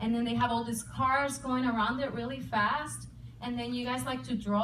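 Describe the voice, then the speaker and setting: Amid noticeable background noise and audible room echo, a woman with a Puerto Rican accent speaks at a moderate pace and fairly high pitch with fairly even intonation. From Puerto Rico. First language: Spanish. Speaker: comedian and army veteran. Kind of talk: stand-up. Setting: stage with audience.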